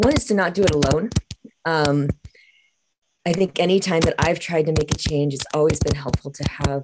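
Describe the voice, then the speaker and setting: Noticeable background noise accompanies a woman's voice. She talks at a fairly quick pace with ordinary pitch variation. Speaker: participant. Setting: video call. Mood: thoughtful, supportive. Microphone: video call.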